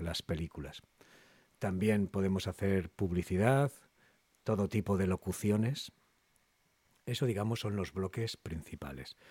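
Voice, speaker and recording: Speaking at a fairly slow pace with long, frequent pauses, a man with a fairly low pitch and ordinary pitch variation is heard in a very clean recording with a silent background and a dry, close sound with no echo. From Cantabria, Spain (Castro Urdiales). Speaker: voice actor. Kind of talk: interview.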